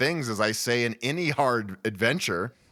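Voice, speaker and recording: Here is a man with an ordinary speaking voice and an American accent. His medium pitch moves with lively intonation. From Colorado, US. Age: 40s. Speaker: adventure cyclist and YouTuber. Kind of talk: podcast interview.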